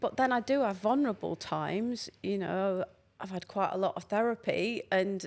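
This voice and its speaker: In a Lancashire accent, a woman speaks at a moderate pace and medium pitch with ordinary pitch variation. The recording is very clean and the background silent. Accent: Northern English (Lancashire). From Lancashire, England. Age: 60s. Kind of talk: podcast interview answer.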